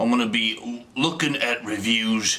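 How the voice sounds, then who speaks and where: A man of medium pitch with an English accent. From England. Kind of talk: comedic reading of online reviews to camera. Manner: casual, rambling, joking.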